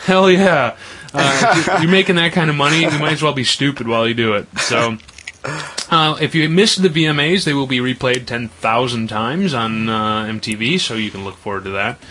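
Over noticeable background noise, the speaker uses lively intonation and an American accent at a moderate pace. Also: man, fairly high pitch for a man. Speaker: radio host. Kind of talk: casual chat. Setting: studio.

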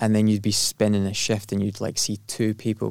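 A man with a Glaswegian accent speaks at a fairly quick pace. His pitch is fairly low and varies in an ordinary way. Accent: Glaswegian Scottish. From Scotland, Glasgow. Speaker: entrepreneur. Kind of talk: casual interview.

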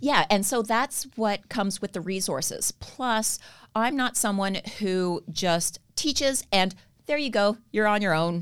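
A woman with a normal speaking voice talks at a fairly slow pace and medium pitch, using lively intonation on a very clean recording with a silent background. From Canada. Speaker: stretch therapist and trainer. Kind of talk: casual interview.

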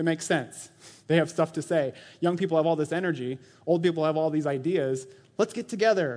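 A man speaks in a normal speaking voice. His pitch sits fairly high and his pace is fairly quick. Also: ordinary pitch variation. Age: 40s. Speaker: church elder and preacher. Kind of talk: sermon. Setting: church. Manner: casual, conversational with frequent laughter.

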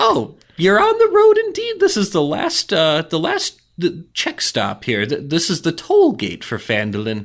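A man talks in a put-on character voice at a fairly slow pace.

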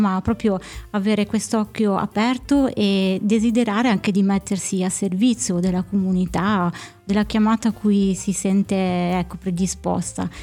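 Intonation stays fairly even in a dark, mellow tone. Everything is recorded very cleanly against a silent background. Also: woman. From Piedmont, Alessandria. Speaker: diocesan family office co-director. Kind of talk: casual interview.

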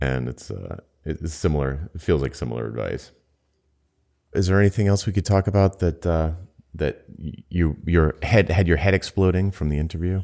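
A man with an American accent speaks at a very deep, low pitch with ordinary pitch variation and a dark, mellow tone. The recording is very clean, with a silent background. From US Northeast (Rhode Island). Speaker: podcast co-host, business consultant. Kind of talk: casual chat. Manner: fast.

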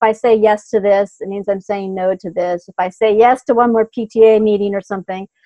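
A woman's normal speaking voice with an American accent, medium in pitch, at a fairly quick pace. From US Pacific Northwest, small town north of Seattle. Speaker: business coach. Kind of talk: interview.

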